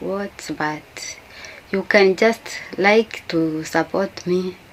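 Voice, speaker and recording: There is noticeable background noise behind this woman's Kenyan accent. Her pitch is medium and her intonation fairly even. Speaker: YouTuber. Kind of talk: casual talk to camera. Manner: halting.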